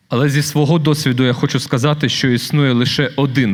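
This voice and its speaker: A man with a Ukrainian accent speaks at a fairly quick pace, his fairly high voice keeping a fairly even intonation. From Ukraine. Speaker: award recipient, former prisoner and author. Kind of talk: acceptance speech. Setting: stage with audience at a gala dinner.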